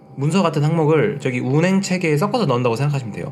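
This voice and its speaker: A man's fairly high-pitched voice at a very fast pace, with lively intonation, noticeable background noise and audible room echo. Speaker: online lecturer for railway safety law exam. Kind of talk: lecture. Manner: casual, mixing polite and plain speech.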